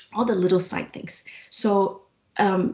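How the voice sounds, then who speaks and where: A woman's somewhat breathy voice at a very slow pace. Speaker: physician researcher. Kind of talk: interview. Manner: projected voice.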